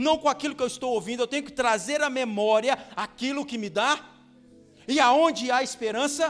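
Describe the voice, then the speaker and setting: Noticeable background noise runs under a man's extremely high-pitched voice. He talks at a moderate pace with ordinary pitch variation. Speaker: pastor. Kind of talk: sermon.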